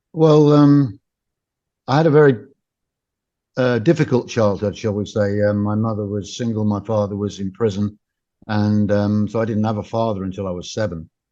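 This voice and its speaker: A dark, mellow tone with an English accent, moderate pace, long, frequent pauses and ordinary pitch variation, over a quiet background. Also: man, fairly low pitch for a man. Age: 60s. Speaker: former special forces soldier and author. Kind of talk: interview.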